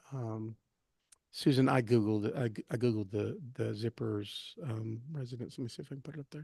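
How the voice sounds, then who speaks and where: Mumbling at a fairly quick pace, a man with a dark, mellow tone sounds somewhat breathy, with ordinary pitch variation, big swings in loudness, and a dry, close sound with no echo. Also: medium pitch for a man. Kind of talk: casual chat. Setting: live stream. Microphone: too quiet.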